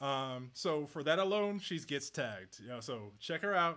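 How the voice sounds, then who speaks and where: This man talks at a moderate pace with a bright, sharp tone. The recording is very clean, with a silent background. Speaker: personal finance YouTuber. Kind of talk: livestream Q&A chat. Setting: home livestream with chair, mic, lights, camera. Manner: rambling, fumbling over words.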